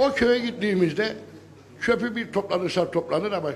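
Over light background noise, a man talks in an animated tone at a moderate pace with ordinary pitch variation. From Northern Cyprus, Lefke region; Northern Cyprus. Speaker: villager speaking from audience. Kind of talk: town hall speech. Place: hall. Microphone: handheld.

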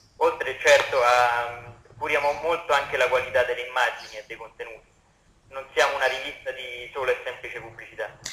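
His volume rises and falls sharply. The man keeps up a fairly brisk delivery. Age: young. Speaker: magazine editor. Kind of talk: radio interview. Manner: halting.

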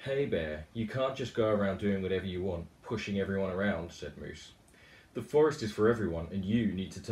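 Natural voice, reading

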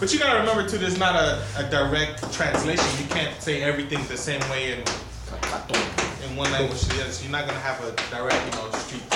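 The speech comes at a very fast pace. There is audible room echo along with loud background noise. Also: man. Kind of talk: classroom discussion question. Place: classroom.

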